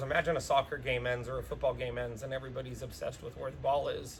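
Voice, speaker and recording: Background noise comes through noticeably. The delivery is very fast. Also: man. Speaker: dog trainer. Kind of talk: tutorial.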